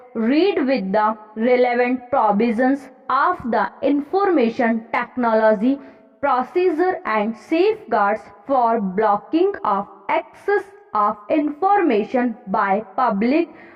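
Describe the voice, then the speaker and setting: With music in the background, the voice moves at a very slow pace, its pitch swinging very widely while its loudness stays very even. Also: woman, high pitch for a woman. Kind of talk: main passage dictation at 90 wpm, news-style text with spoken 'para'. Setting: exam hall dictation. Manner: slow, clear, steady pace.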